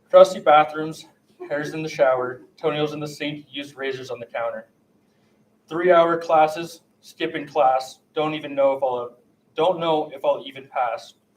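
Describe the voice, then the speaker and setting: This man has a normal speaking voice, fairly high for a man, moving at a moderate pace with fairly even intonation and big swings in loudness. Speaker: college student poet. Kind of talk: poetry reading.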